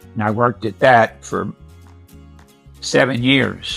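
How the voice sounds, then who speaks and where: With music in the background, a man speaks at a fairly slow pace and ordinary pitch variation. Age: 80s+. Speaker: retired tire company manager. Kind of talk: interview answer.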